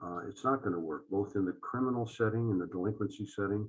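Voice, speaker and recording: Here a man speaks in a plain, everyday voice. His pitch is fairly low and his intonation fairly even. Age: 60s. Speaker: judge. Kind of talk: interview.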